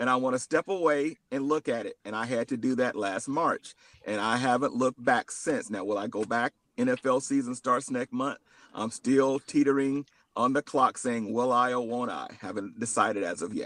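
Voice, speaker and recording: Using an ordinary speaking voice, a man with an American accent talks at a medium pitch with ordinary pitch variation. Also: moderate pace. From Georgia (US South). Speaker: ride-share driver. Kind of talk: casual chat.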